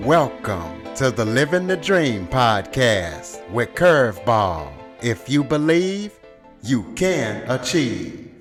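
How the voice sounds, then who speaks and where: With music in the background, the speech moves at a very slow pace with very wide pitch swings. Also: man, medium pitch for a man. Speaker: podcast host. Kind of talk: podcast interview questions. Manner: relaxed.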